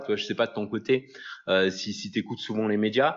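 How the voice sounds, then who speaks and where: A man talks at a moderate pace. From France. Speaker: podcast host, online business coach. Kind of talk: solo podcast monologue. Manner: casual, hesitant with fillers.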